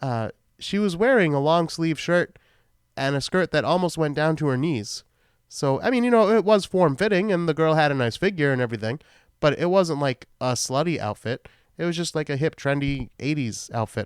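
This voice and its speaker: With lively intonation and a fairly high pitch, a man in a Boston accent talks at a moderate pace, the sound dry and close with no echo on a very clean recording with a silent background. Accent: Boston accent, shows on some words. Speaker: podcast host, film reviewer. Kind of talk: solo podcast film recap, casual. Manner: casual, rambling with fillers.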